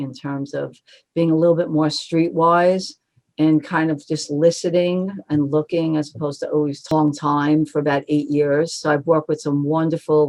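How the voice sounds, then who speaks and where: With a Brooklyn accent, a woman speaks at a moderate pace in a very deep, low pitch and a monotone, flat intonation. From Brooklyn, New York. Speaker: marketing agency co-founder. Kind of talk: interview.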